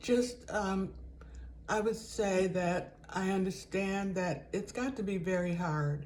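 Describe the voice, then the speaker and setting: A somewhat breathy woman's voice with ordinary pitch variation and audible room echo. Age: 70s. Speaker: lifestyle vlogger. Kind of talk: casual vlog monologue. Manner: conversational, with fillers.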